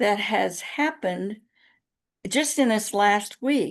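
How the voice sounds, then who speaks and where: Against a quiet background, the speaker talks at a very slow pace with lively intonation and vocal fry. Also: woman. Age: 70s. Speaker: interview guest. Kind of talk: casual chat.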